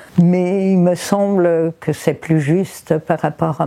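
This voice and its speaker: A woman talks at a very slow pace. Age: 70s. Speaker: raw food practitioner. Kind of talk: testimony. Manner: halting.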